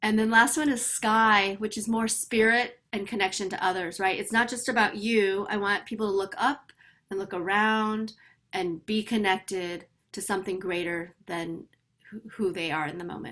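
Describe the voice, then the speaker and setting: At a moderate pace, a woman speaks at medium pitch in a bright, sharp tone, on a very clean recording with a silent background. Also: ordinary pitch variation. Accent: American. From US Midwest. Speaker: personal transformation coach. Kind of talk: interview conversation. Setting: podcast.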